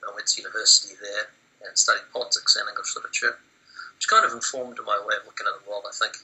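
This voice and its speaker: A man talks with a New Zealand accent. His loudness swings widely. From New Zealand, Wellington. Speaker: interviewee. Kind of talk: research interview. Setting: Skype call. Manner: halting, many fillers.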